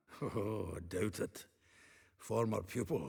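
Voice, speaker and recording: Using a put-on character voice, a man speaks raspy and fairly slowly at a fairly low pitch. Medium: video game. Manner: chuckling, bawdy.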